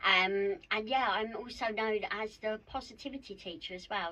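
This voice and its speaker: A woman speaks at a fairly slow pace with a South East London accent. Her tone is bright and sharp, and her pitch varies in an ordinary way. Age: 50s. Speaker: mindset mentor and wellbeing coach. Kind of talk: podcast interview.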